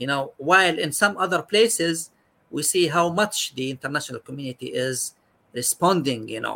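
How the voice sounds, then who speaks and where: The voice has a bright, sharp tone and an Arabic accent. The pace is moderate. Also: man. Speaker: psychiatrist. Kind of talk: expert interview.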